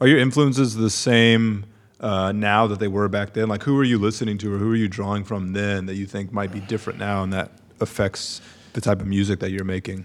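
This man has an ordinary speaking voice, pitched fairly low. His intonation stays fairly even at a fairly quick pace. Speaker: podcast co-host. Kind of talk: casual chat.

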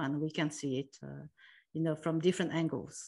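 Against a quiet background, a woman speaks in a very deep, low voice with ordinary pitch variation. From France. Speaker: e-commerce executive. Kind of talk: interview. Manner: hesitant, many fillers.

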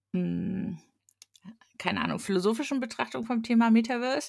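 The recording of a woman speaking is very clean, with a silent background. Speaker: podcast co-host. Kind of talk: casual chat.

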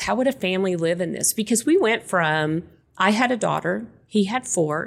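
A woman with a West Texas accent talks at a moderate pace and medium pitch in a very clean recording with a silent background. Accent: West Texas American. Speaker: realtor. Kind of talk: casual interview chat.

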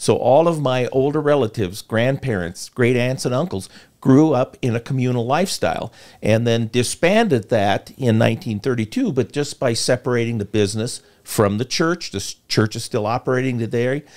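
A man in a plain, everyday voice, medium pitch with ordinary pitch variation, moderate pace, very clean recording and silent background. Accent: American. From rural Iowa, US Midwest. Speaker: former state senator. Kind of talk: interview. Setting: live show.

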